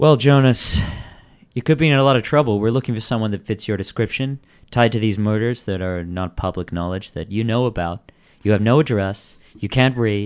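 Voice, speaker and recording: Here a man talks at a fairly quick pace with a fairly low pitch. He has an unremarkable speaking voice with ordinary pitch variation. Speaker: podcast host. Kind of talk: casual chat, improv game play. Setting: live stream with chat, remote.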